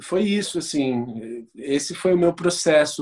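Very slow speech over noticeable background noise. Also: man. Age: 30s. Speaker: actor and photographer. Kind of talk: interview.

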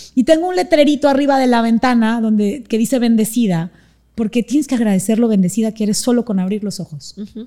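A woman speaks very fast in a dark, mellow tone with lively intonation. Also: fairly high pitch for a woman. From Panama. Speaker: motivational speaker. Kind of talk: interview.

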